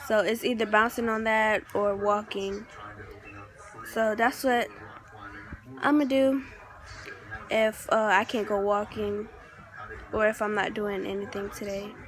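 The speech has long, frequent pauses at a fairly slow pace, with fairly even intonation. The sound is dry with no echo, over light background noise. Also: woman. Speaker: vlogger. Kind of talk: casual vlog. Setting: restaurant. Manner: speaking quietly. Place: home room. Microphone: phone near.

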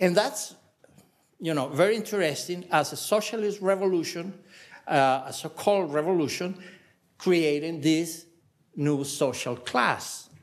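A man speaks with a Spanish accent at a fairly slow pace. His pitch varies in an ordinary way. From Venezuela. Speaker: political scientist, former minister; former minister. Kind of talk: academic panel talk. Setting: panel with audience. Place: hall. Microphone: podium.

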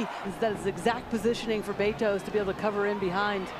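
The speech runs at a very fast pace. Crowd noise fills the background. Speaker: color commentator analyst. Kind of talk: live sports commentary, analytical. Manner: measured, explanatory.

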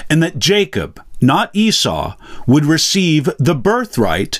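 In quiet surroundings, a man speaks rather slowly. His intonation is lively. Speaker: pastor teaching the Bible. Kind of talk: bible teaching lecture. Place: home room.

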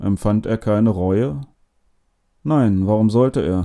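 A man with a dark, mellow tone, lively intonation and a fairly slow pace. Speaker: audiobook narrator. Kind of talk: literary audiobook reading of a first-person Holocaust memoir, solemn and measured.

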